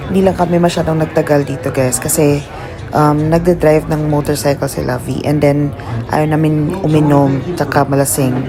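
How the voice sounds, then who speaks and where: The speaker keeps a moderate speed with music playing behind. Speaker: travel vlogger. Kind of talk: vlog voiceover narration.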